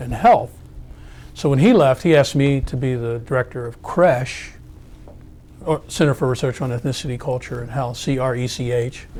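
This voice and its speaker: A man with an ordinary speaking voice, medium pitch, fairly even intonation, and a fairly quick pace. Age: 60s. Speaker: academic researcher. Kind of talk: oral history interview. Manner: conversational with fillers and repetitions.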